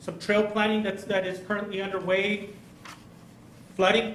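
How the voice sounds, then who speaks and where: Amid noticeable background noise and audible room echo, a man speaks at a moderate pace in a high, monotone voice with flat intonation. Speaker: presenter on infrastructure projects. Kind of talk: presentation to legislators. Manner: halting, many fillers and repeats.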